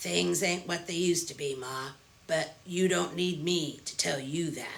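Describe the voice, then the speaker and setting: Gruff and raspy, a put-on character voice at middle pitch moves at a moderate pace. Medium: read story. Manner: friendly, casual.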